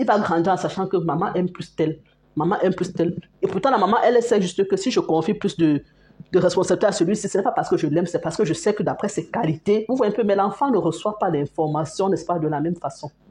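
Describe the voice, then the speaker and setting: Very fast speech, somewhat breathy, with a dark, mellow tone. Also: woman, medium pitch for a woman, ordinary pitch variation. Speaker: parenting vlogger. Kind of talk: casual talk to camera.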